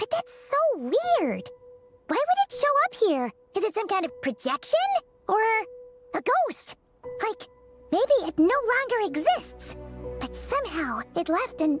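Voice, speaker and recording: Put on as a character voice, the extremely high pitch leaps in very wide swings at a fairly slow pace, broken by long, frequent pauses over faint music in the background. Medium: video game. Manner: chirpy, lively.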